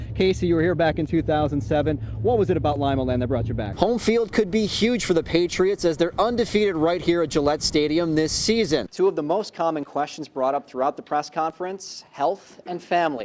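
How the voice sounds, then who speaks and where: Against noticeable background noise, a man speaks at a fairly quick pace with hardly any pauses. His pitch is fairly high and his intonation lively. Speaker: sports TV journalist and anchor. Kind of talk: sports news anchor read, upbeat and fast-paced broadcast delivery.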